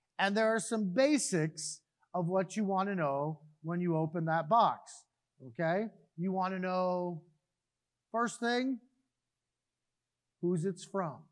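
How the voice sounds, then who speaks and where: The speech moves at a very slow pace with long, frequent pauses and ordinary pitch variation. It is a very clean recording with a silent background. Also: man, high pitch for a man. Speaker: pastor. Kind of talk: children's sermon. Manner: casual, interactive.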